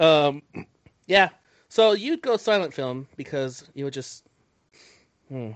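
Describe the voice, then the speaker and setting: A man with an American accent, fairly high pitch and lively intonation, at a very slow pace with long, frequent pauses and big swings in loudness. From United States. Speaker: movie podcast co-host. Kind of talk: casual chat.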